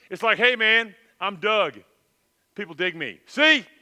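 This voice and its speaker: A man with a Texan accent projects a raised, bright, sharp voice at a moderate pace. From Texas. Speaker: camp speaker. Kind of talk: youth talk to audience. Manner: animated.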